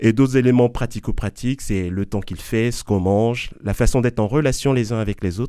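A man with an ordinary speaking voice talks at a medium pitch with hardly any pauses. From Ivory Coast. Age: 40s. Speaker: Jesuit and math teacher. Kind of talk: testimony. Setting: studio.

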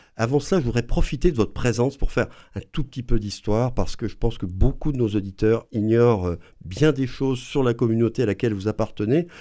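A man with a dark, mellow tone speaks at a medium pitch and a fairly quick pace. His pitch varies in an ordinary way, and the recording is very clean with a silent background. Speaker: radio host. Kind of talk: radio interview. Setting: studio.

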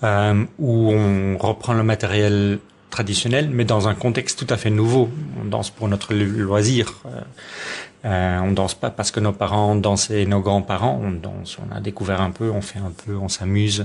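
A man speaks with a Dutch accent at a fairly low pitch. His intonation stays fairly even. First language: Dutch (speaking French). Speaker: folk dancer and dance teacher. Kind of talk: radio interview. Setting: at home. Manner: halting.

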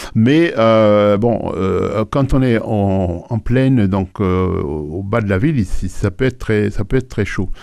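A man's fairly low voice at a very slow pace, with very even loudness, over a quiet background. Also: ordinary pitch variation. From Haiti, Port-au-Prince. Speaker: retired research engineer. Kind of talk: radio interview. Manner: halting.

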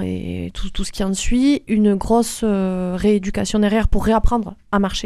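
An ordinary speaking voice at a moderate pace, with fairly even intonation and a quiet background. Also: woman. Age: 40s. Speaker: nurse and semi-professional athlete. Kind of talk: interview.

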